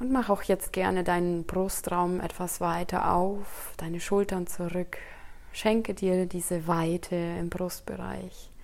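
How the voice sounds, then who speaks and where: A woman with a fairly low pitch and a soothing tone speaks at a very slow pace in a monotone, flat intonation. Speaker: meditation guide. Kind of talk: guided meditation, calm spoken instructions to a single listener. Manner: slow, soft-spoken, soothing, with long pauses; gentle and inviting, addressing listener as "du".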